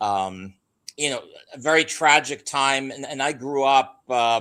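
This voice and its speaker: Recorded very cleanly against a silent background, a man talks at a fairly slow pace with a bright, sharp tone, medium pitch and ordinary pitch variation. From US Northeast, Philadelphia. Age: 60s. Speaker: guest expert on geology and the Flood. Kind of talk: podcast interview.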